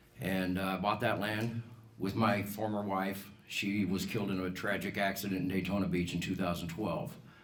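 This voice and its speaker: Heard with audible room echo, a man with an American accent and a fairly low pitch talks at a moderate pace. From Colorado, US. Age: 60s. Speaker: political candidate, business owner. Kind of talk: campaign speech.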